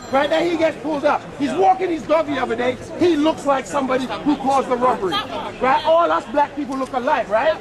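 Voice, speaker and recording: Over crowd noise in the background, a loud man talks at a very fast pace and an extremely high pitch in an animated tone. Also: ordinary pitch variation. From London, Battersea. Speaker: local resident. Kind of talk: heated street argument.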